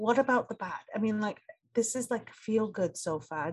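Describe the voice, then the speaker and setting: A woman with an English accent speaks at a moderate pace. Her voice is fairly high and somewhat breathy. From England. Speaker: podcast host. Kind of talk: solo podcast monologue.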